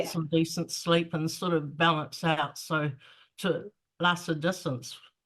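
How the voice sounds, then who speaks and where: A woman with a New Zealand accent speaks at a fairly slow pace, in a fairly low pitch and a monotone with flat intonation. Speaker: author. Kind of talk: interview answer. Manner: casual, hesitant.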